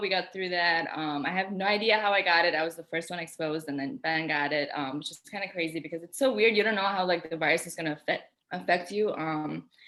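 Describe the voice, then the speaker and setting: In an Albanian accent, a woman speaks at a very fast pace with hardly any pauses. Her pitch is fairly low, with ordinary variation. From Albania, moved to US at ten. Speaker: pharmacy student. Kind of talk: casual chat.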